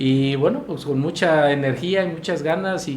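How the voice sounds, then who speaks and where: A man with ordinary pitch variation, amid noticeable background noise and audible room echo. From Mexico, Michoacán (Pátzcuaro). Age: 60s. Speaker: mayor. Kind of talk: interview. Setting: studio, live broadcast. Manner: halting with fillers.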